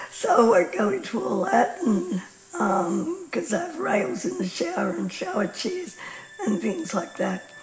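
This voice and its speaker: A woman with an Australian accent speaks at a fairly slow pace, with audible room echo and noticeable background noise. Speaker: patient advocate and presenter. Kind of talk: informal talk to camera. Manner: hesitant, many fillers.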